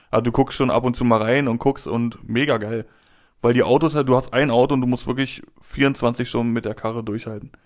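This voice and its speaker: Speaking at a fairly quick pace, a man uses a plain, everyday voice. His pitch is medium and his intonation fairly even. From Berlin. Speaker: podcast co-host. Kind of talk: casual chat. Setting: home recording studio.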